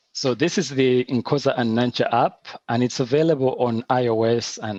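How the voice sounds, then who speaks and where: A man's medium-pitched voice with a Ugandan accent, at a moderate pace, in a dry, close recording with no echo. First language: Luganda. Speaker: animator and app founder. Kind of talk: online presentation with demo.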